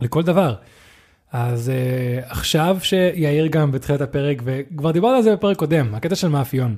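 A man with a non-native accent talks at a moderate pace, his fairly high voice carrying lively intonation. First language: not Hebrew (speaking Hebrew). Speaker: podcast co-host. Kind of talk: casual chat.

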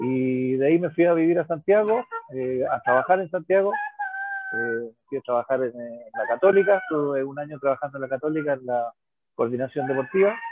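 With lively intonation, the speaker talks at a fairly quick pace. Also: man, fairly high pitch for a man. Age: 60s. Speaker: physics teacher and rugby coach. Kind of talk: casual chat. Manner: halting, many repetitions.

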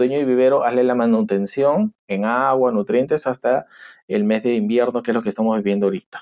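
Pitched at a medium level, the man's voice varies in an ordinary way. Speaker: agronomist. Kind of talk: interview. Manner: emphatic.

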